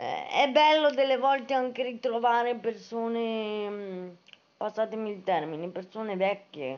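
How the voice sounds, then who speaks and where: A woman's fairly high voice with lively intonation at a fairly slow pace. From Italy. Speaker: book-reviewing writer and live streamer; book vlogger. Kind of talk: casual live stream chat. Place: home room. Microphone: phone near.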